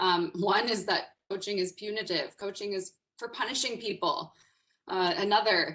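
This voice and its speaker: Loud and medium-pitched, the woman's voice has a bright, sharp tone. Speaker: executive coach and webinar speaker. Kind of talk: webinar presentation. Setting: online webinar. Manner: energetic, informal.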